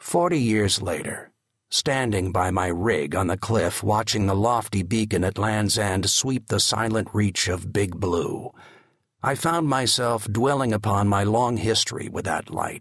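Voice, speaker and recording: A man's fairly low pitch with ordinary pitch variation, at a fairly slow pace. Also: very even loudness. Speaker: audiobook narrator. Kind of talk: dramatic audiobook narration of a memoir, reading aloud in a vivid, storytelling style. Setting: studio. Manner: measured, evocative, slow and atmospheric pacing with hushed, reflective emphasis.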